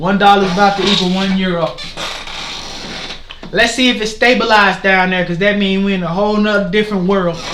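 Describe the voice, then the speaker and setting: Loud and very fast, a man with a high pitch takes long, frequent pauses amid noticeable background noise and audible room echo. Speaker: forex trading streamer. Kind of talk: live market commentary. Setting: livestream. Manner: animated.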